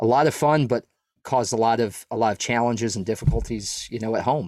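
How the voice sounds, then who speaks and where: A man with an American accent talks at a very fast pace with ordinary pitch variation, on a very clean recording with a silent background. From Southern Maine, US. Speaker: former federal agent and coach. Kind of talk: casual interview chat.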